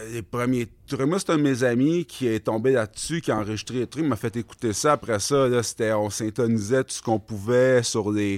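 Recorded very cleanly with a silent background and a dry, close sound with no echo, a man speaks in a normal speaking voice at a moderate pace and medium pitch with ordinary pitch variation. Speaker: clothing brand co-founder. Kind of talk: casual interview chat.

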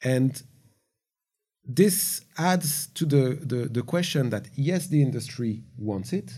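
On a very clean recording with a silent background, the voice has a dark, mellow tone and sounds somewhat breathy. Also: man. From France. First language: French. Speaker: gaming industry veteran. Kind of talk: panel discussion.

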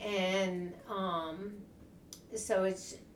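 A woman with an American accent speaks at a medium pitch over noticeable background noise. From US South, Tennessee. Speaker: podcast co-host. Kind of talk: casual chat.

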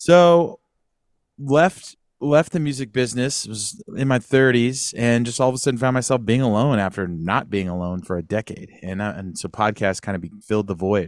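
A man with an American accent speaks at a moderate pace in an unremarkable speaking voice, medium in pitch with lively intonation. The recording is very clean, with a silent background. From Northern California, Sacramento area. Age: 40s. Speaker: podcast host, former musician. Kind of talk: casual chat.

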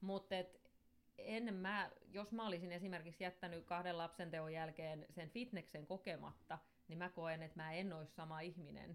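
Speaking in a plain, everyday voice, a woman keeps a fairly low pitch, a moderate pace and fairly even intonation. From Finland, Somero (Southwest Finland). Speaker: gym entrepreneur and interior designer. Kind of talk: casual interview chat. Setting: studio.

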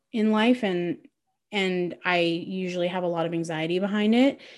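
A woman with a Canadian accent speaks at a fairly slow pace, her pitch sitting in the middle range. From Mississauga, Ontario, Canada. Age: 20s. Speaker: podcast co-host, performer. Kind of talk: casual chat.

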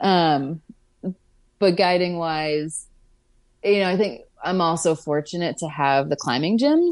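With an American accent and a fairly low pitch, a woman talks at a moderate pace with ordinary pitch variation in an unremarkable speaking voice. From Pittsburgh, US. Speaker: climbing guide. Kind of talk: casual interview. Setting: video call.

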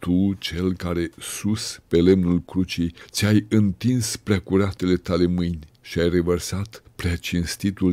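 A man talks at a very slow pace in a very deep, low pitch with a dark, mellow tone. His intonation is monotone and flat, and his tone is solemn. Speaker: Orthodox prayer reader. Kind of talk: fervent prayer. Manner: solemn, supplicating, humble.

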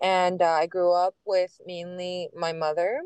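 In an American accent, a woman speaks at a fairly low pitch, with a dry, close sound and no echo. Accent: Miami Cuban American English. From Miami, US. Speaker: musician and visual artist, activist, actress.

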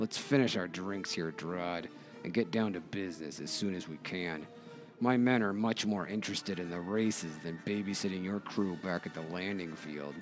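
Over clear background music, a man uses a gruff, growling put-on character voice at a moderate pace. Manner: growling, gruff.

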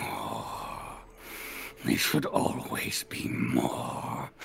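A raspy, put-on character voice comes through over clear background noise. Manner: eerie, ominous.

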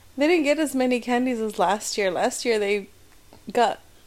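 A woman with an unremarkable speaking voice talks at a fairly high pitch and a moderate pace. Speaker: podcast co-host. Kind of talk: casual chat.

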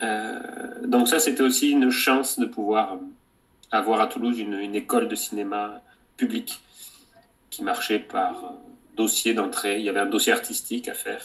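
Moving at a moderate pace, a man speaks with long, frequent pauses. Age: 30s. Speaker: documentary filmmaker. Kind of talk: interview. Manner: halting.

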